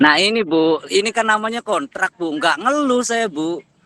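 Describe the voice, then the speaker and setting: In a Cirebon accent, a raised, projected voice with lively intonation and a bright, sharp tone, dry and close with no echo. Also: man. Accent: local northern Cirebon dialect. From Cirebon area, West Java (Kapetakan). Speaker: teacher and university student. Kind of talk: class discussion. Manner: forceful, pushy.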